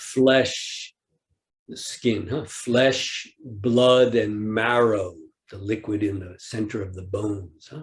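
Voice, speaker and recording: A man speaks at a very slow pace with a fairly low pitch, a somewhat breathy sound and fairly even intonation. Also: big swings in loudness. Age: 60s. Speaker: Zen teacher. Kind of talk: dharma talk. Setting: online retreat.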